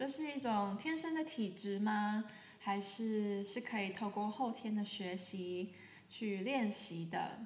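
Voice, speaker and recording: Over noticeable background noise and audible room echo, a speaker with a Taiwanese accent talks at a very slow pace with very even loudness, a calm tone and ordinary pitch variation. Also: woman, fairly high pitch for a woman. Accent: Taiwanese Mandarin. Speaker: sound healer, podcast host. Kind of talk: solo podcast talk. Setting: sitting in sunlight, filmed for video. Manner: calm, with frequent fillers.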